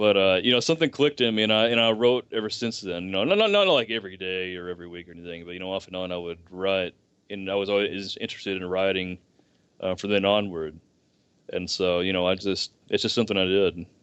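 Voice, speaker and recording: With a Southern US accent, a man rattles along at a very fast pace in a very deep, low pitch. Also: ordinary pitch variation. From US South, rural deep Southeast. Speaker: writer. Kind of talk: podcast interview. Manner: halting, many fillers and restarts.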